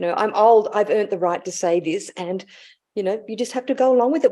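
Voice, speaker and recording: A woman with an Australian accent talks at a very fast pace. Her tone is dark and mellow, and her intonation is lively. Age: 60s. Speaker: intuitive life guide. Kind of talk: casual chat.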